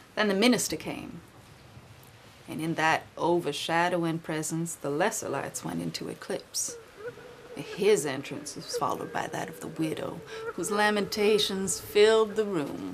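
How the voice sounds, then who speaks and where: Against noticeable background noise, a woman speaks at a moderate pace with ordinary pitch variation and big swings in loudness. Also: fairly low pitch for a woman. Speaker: actor. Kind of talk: dramatic reading of a classic short story.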